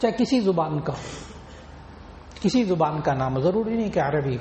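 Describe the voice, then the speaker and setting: A man speaks with a high pitch and lively intonation. Noticeable background noise runs under his voice. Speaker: Islamic scholar giving a sermon. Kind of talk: religious sermon (bayan) to an audience.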